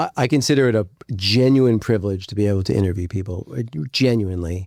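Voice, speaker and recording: A raspy male voice with a dark, mellow tone, a fairly quick pace and ordinary pitch variation on a very clean recording with a silent background. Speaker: entrepreneur and podcast host. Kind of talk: interview conversation.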